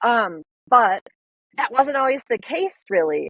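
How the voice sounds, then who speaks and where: Speaking at a fairly slow pace, a woman talks in a Minnesotan accent. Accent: Minnesota. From US Upper Midwest, northern Minnesota. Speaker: wildlife photographer. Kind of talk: podcast interview. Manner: casual, many fillers.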